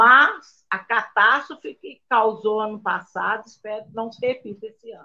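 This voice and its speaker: A woman is speaking. Her tone is bright and sharp. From Brazil, interior of Minas Gerais. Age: old. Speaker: retired state employee, live show participant. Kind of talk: casual chat.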